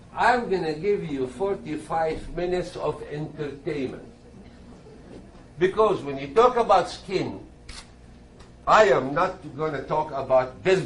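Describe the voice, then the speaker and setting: Pausing often and at length, a man speaks at a fairly slow pace with a fairly high pitch and lively intonation. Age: 60s. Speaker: dermatologist. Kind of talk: lecture.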